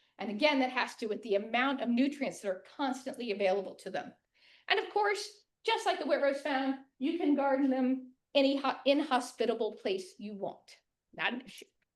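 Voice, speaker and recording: A woman talks at a fairly quick pace in a high pitch, with very wide pitch swings and big swings in loudness. Audible room echo surrounds her voice. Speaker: master gardener giving a talk. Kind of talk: lecture. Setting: room with live audience and Zoom. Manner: fast.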